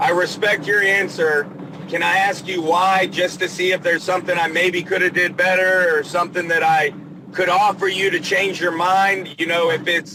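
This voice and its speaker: Over noticeable background noise, a man with an American accent talks at a moderate pace in a high pitch, with monotone, flat intonation and very even loudness. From Georgia and Pennsylvania. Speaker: plumber. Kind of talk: casual interview chat. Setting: in a car, stuck in traffic. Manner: talkative.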